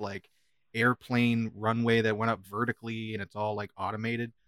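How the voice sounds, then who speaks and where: A man talks at a fairly quick pace with fairly even intonation, in a plain, everyday voice. The sound is dry and close, with no echo. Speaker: podcast host. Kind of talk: casual banter review chat. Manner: joking, profane.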